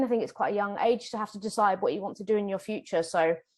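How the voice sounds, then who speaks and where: With a British accent, a woman speaks at a fairly high pitch with ordinary pitch variation. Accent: British, noticeable. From UK. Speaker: ecologist, whale researcher. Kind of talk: interview, casual. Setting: recording in person together.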